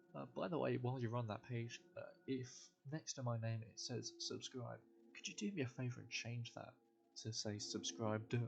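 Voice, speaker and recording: Music in the background behind a man's moderate pace. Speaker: YouTuber. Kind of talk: casual vlog monologue. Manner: halting.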